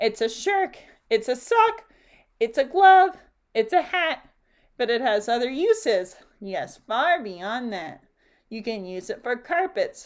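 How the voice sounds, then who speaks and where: A nasal, put-on character voice moves at a fairly slow pace with long, frequent pauses, very wide pitch swings and big swings in loudness. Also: woman, high pitch for a woman. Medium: read story.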